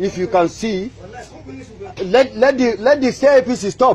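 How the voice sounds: A man, slightly mellow in tone, with ordinary pitch variation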